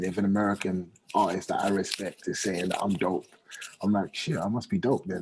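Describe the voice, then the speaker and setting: Speaking with a British accent, a man keeps a moderate pace and a fairly low pitch. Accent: British accent, put on heavy in songs. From UK. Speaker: R&B singer. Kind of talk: radio interview.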